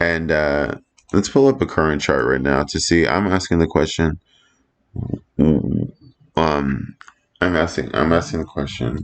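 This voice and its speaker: A man talks in a very deep, low pitch with vocal fry. His pace is fairly slow, broken by long, frequent pauses. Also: ordinary pitch variation. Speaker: astrology and crypto video creator. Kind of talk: casual commentary. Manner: halting, self-interrupting.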